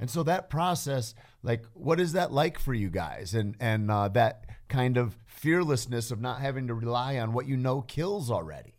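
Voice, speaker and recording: A man with a plain, everyday voice, medium pitch, lively intonation and a moderate pace, on a very clean recording with a silent background. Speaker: podcast guest. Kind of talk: casual chat. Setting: studio.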